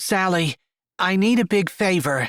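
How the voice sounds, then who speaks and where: Someone does a put-on character voice at a middle pitch and a moderate pace. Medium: read story.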